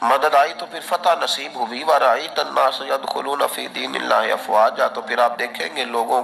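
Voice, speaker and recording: Lively intonation marks this man's medium-pitched voice. Background noise is noticeable. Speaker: Islamic preacher. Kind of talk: Islamic sermon (bayan) delivered to an audience. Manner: emotional, preaching.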